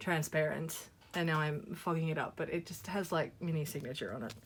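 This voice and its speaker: Recorded very cleanly against a silent background, a woman with an Australian accent speaks at a moderate pace and a fairly low pitch. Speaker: YouTuber, photocard collector. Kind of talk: casual vlog chat. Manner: chatty, rambling with fillers.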